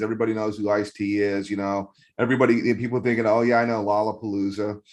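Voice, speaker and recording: In an animated tone, a man talks at a fairly quick pace. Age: 50s. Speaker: magazine editor and interviewer. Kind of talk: casual interview.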